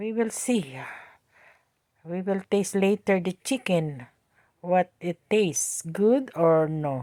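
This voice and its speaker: In a dry, close sound with no echo, a woman speaks very slowly in a medium pitch with lively intonation and long, frequent pauses. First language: Tagalog. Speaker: home cooking vlogger. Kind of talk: cooking tutorial. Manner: talkative, halting.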